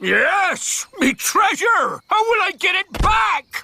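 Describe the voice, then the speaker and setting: A cartoonish character voice delivers its lines at a very slow pace. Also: man, extremely high pitch for a man. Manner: fussy, flustered.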